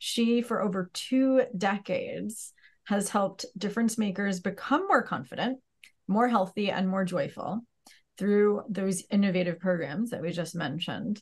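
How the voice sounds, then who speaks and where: Against a quiet background, a somewhat breathy voice moves at a moderate pace with ordinary pitch variation. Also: woman. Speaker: podcast host. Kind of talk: interview introduction. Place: home room. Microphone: earbuds.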